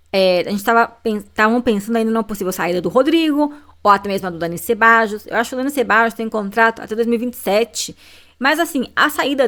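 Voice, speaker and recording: A woman's fairly high-pitched voice at a very fast pace, with ordinary pitch variation. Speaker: football YouTuber. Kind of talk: casual commentary video.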